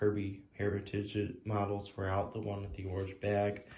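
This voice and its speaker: Audible room echo surrounds a man whose tone is dark and mellow. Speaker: vacuum cleaner collector and video creator. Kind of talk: show-and-tell video. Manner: casual, with many fillers. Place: home room. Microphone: phone near.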